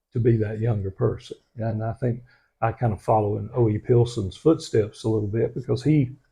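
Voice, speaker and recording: Speech comes at a fairly quick pace with vocal fry, in an American accent. The intonation stays fairly even. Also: man. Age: 60s. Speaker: local historian and author. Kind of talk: interview. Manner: halting, many fillers.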